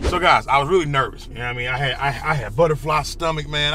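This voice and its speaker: The speech moves at a very fast pace. Audible room echo surrounds it. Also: man. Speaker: hotshot trucker and vlogger. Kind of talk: casual vlog monologue. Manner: loud; casual, repetitive, halting.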